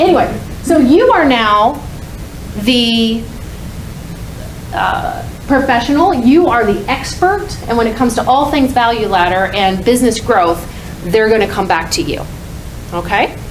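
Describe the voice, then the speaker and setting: A woman's fairly high voice with lively intonation and long, frequent pauses, amid audible room echo and noticeable background noise. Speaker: conference speaker. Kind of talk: conference talk. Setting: stage with audience. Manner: fast; loud.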